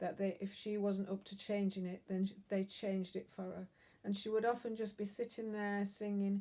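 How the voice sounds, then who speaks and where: A woman's medium-pitched voice has a dark, mellow tone and monotone, flat intonation. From northern England, Lancashire. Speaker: sewing vlogger. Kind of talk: casual chat. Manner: halting.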